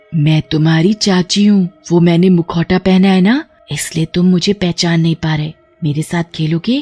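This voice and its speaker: A woman's cartoonish character voice, fairly low in pitch, at a moderate pace over faint music in the background. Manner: scheming, menacing.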